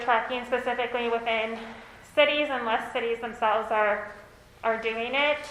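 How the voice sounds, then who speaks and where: A loud woman with an American accent speaks at a high pitch in a monotone, flat intonation, with audible room echo and noticeable background noise. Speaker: consultant. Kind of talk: presentation. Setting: meeting room.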